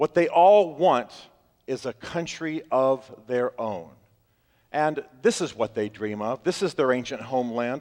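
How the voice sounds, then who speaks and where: The speaker has an unremarkable speaking voice with lively intonation. The pace is fairly slow. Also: man, medium pitch for a man. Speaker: speaker giving a talk. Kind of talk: public talk.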